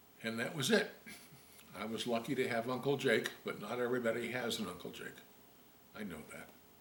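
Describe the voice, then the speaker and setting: Over noticeable background noise and audible room echo, a man speaks fairly quickly at a medium pitch with lively intonation. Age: old. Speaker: volunteer reader of children's books. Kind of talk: casual talk to children; reading aloud.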